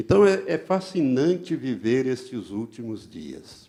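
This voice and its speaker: A man's dark, mellow voice at medium pitch, very slow, with very wide pitch swings and vocal fry. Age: 70s. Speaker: pastor. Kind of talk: sermon.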